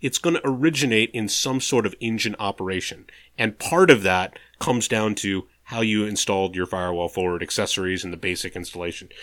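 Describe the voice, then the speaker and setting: Delivered at a fairly quick pace with lively intonation, this is a normal speaking voice on a very clean recording with a silent background. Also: man. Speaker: podcast host, kit aircraft builder and pilot. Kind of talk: casual chat.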